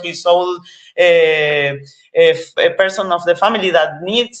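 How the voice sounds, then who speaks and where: A woman speaks with an Argentine accent at medium pitch. Her pace is fairly slow. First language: Spanish. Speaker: cannabis activist. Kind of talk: interview. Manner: halting, many fillers and repetitions.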